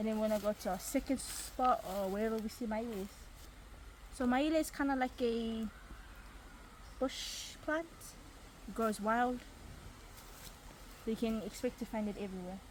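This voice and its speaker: A woman with a fairly high pitch sounds somewhat breathy and shows ordinary pitch variation. She keeps a moderate pace broken by long, frequent pauses. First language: Niuean. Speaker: craft video host. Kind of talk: casual tutorial.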